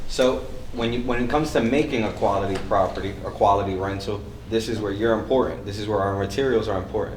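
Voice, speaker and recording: A man speaks at a medium pitch. Audible room echo is present. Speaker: event host and real estate coach. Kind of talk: panel moderation. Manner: loud.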